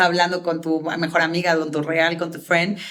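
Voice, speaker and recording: Noticeable background noise behind a woman with a fairly low pitch. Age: 30s. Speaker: public speaking coach. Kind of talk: interview answers. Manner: fast.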